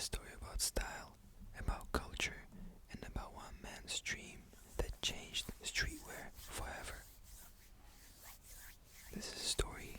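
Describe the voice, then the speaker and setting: The voice is whispering. It goes at a very slow pace. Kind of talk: ASMR bedtime story narration. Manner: whispered.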